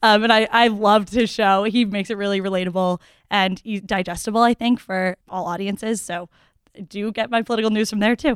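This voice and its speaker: A woman with an American accent and an unremarkable speaking voice talks at a fairly quick pace in a medium pitch with fairly even intonation, on a very clean recording with a silent background and a dry, close sound with no echo. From Massachusetts (Newton). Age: 20s. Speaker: college student. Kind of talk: casual chat.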